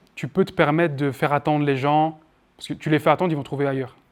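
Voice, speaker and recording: Very fast and fairly even in intonation, a man with a fairly high pitch is heard in a very clean recording with a silent background. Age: 20s. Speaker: marketing trainer. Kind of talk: workshop lecture with Q&A. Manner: loud.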